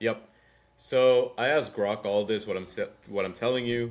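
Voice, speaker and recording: Speaking at a moderate pace with a non-native accent, a man keeps a medium pitch and ordinary pitch variation. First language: not English. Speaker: podcast host, startup founder. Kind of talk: casual chat. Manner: thinking aloud, rambling speech.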